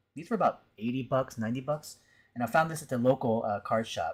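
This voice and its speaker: At a very fast pace, a man with a somewhat breathy voice and a medium pitch speaks in a very clean recording with a silent background. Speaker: art teacher and streamer. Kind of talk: casual live stream chat. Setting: live stream.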